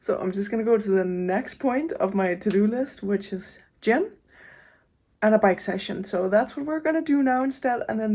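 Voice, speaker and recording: In a very clean recording with a silent background, a woman speaks at a moderate pace and a medium pitch, with a non-native accent. Her tone is dark and mellow, and her loudness swings a lot. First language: not English. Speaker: running vlogger. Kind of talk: casual vlog talk to camera. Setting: gym. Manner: casual, with filler words.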